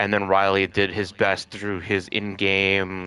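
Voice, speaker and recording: Music plays in the background. A man speaks in a fairly low pitch. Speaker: gaming streamer. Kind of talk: casual chat. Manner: animated.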